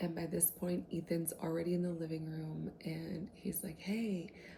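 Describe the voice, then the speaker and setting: Moderate pace, soft-spoken voice. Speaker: book content creator. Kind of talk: casual book retelling to camera.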